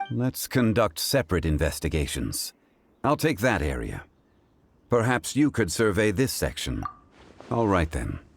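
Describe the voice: Using a put-on character voice, a man speaks fairly slowly at a low pitch with big pitch swings and vocal fry.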